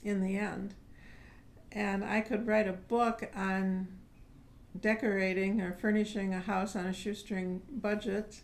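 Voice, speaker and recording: With monotone, flat intonation and a medium pitch, a woman speaks with long, frequent pauses. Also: fairly slow pace. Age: 60s. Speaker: pastor and community housing organizer. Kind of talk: oral history interview. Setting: indoor interview with fan turned off. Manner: halting, many fillers.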